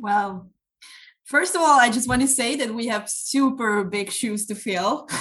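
Speaking with a Hungarian accent, a woman uses a fairly high pitch and ordinary pitch variation. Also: fairly slow pace. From Hungary. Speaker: youth NGO trainer and incoming podcast host. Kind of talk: casual chat.

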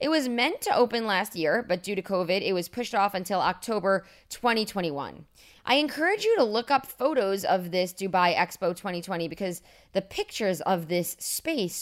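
On a very clean recording with a silent background, a woman in a normal speaking voice talks at medium pitch and a moderate pace with lively intonation. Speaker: news podcast host. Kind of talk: casual monologue; news reading. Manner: upbeat.

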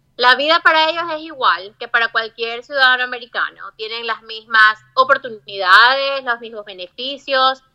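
A woman with a high-pitched voice speaks with big swings in loudness. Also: ordinary pitch variation, moderate pace, hardly any pauses. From Ecuador, Guayaquil (coastal). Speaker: migrant interviewee. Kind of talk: interview.

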